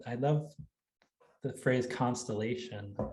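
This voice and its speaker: A man with an American accent speaks at a moderate pace and medium pitch, his tone dark, mellow and somewhat breathy. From Wisconsin, US Midwest. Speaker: writer and college English teacher. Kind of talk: Q&A after a craft talk. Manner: halting, many fillers and restarts.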